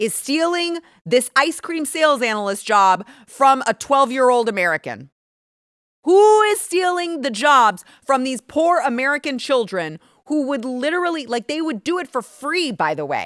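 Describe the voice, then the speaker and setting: With a high pitch and very wide pitch swings, a woman speaks in an animated tone at a moderate pace. The recording is very clean, with a silent background. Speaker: political commentator. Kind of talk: opinion monologue. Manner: speaking quietly.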